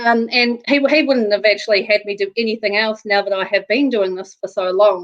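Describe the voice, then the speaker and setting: A woman with a New Zealand accent, dry and close with no echo. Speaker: real estate agent. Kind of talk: interview.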